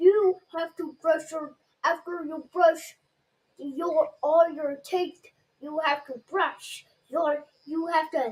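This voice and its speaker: A high-pitched, put-on character voice moves at a very slow pace. Long, frequent pauses fill the delivery. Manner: stern, imitating a dad.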